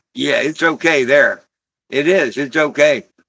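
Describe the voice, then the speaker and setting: At a moderate pace, a man with an American accent and a fairly high pitch speaks in a bright, sharp tone against a quiet background. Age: 60s. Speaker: livestream host. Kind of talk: casual livestream monologue. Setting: live stream. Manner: animated.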